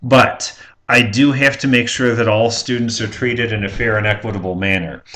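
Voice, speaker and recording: Audible room echo surrounds a man speaking at a fairly quick pace with fairly even intonation. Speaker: college instructor. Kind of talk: pre-recorded lecture. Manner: hesitant fillers.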